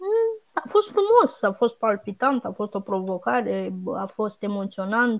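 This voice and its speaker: A woman at a very slow pace with hardly any pauses. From Romania, Buzău. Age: 30s. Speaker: blogger and regional franchise director. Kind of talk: interview. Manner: halting.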